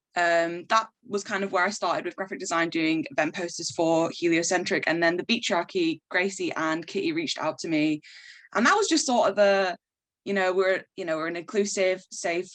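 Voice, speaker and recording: Lively intonation and a fairly quick pace carry a northern English accent over a quiet background. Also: woman. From northern England, Manchester. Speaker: DJ and graphic artist. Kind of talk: casual interview chat. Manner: fast, animated.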